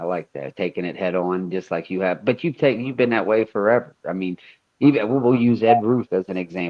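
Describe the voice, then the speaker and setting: With an American accent, a man has an unremarkable speaking voice, fairly low in pitch with ordinary pitch variation, talking at a fairly quick pace. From Ohio. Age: 30s. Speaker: podcast host. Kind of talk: casual interview.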